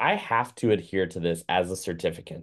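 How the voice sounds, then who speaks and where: It's a man talking. Nothing much can be heard behind him. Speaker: certified dog trainer. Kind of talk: lecture. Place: home room. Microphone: webcam.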